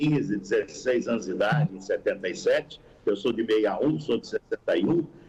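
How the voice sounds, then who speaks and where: A man speaks at a fairly quick pace. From Sorocaba, interior of São Paulo state, Brazil. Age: 60s. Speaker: football radio commentator. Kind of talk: podcast interview.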